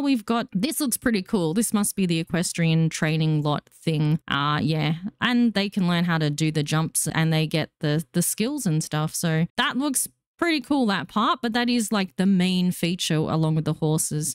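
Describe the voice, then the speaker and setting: An Australian accent with very wide pitch swings, very even loudness, a moderate pace, and hardly any pauses, on a very clean recording with a silent background and a dry, close sound with no echo. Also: woman, fairly low pitch for a woman. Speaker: gaming YouTuber. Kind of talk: casual commentary on game news. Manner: animated.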